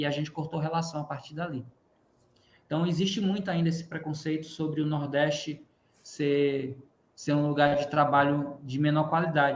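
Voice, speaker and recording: This man's fairly high voice is somewhat breathy and flat in intonation, moving at a moderate pace with a slight northeastern Brazilian accent. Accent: mild Northeast Brazilian. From Northeast Brazil. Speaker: physics teacher and YouTuber. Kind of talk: webinar panel discussion.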